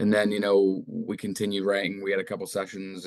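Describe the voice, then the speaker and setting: This man's voice sits fairly low and moves at a fairly quick pace. His intonation stays monotone and flat. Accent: American. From England. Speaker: metal band vocalist. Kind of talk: interview. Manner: hesitant, many fillers.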